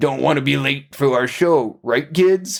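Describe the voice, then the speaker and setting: Using a put-on character voice, a man keeps his loudness very even and his pitch variation ordinary. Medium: read story. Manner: folksy, friendly, over-earnest.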